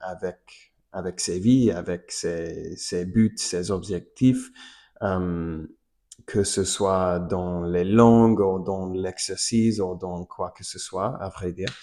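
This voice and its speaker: Very slow and dark, mellow in tone, a man talks in a very deep, low pitch. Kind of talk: casual talk to camera. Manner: hesitant, many fillers.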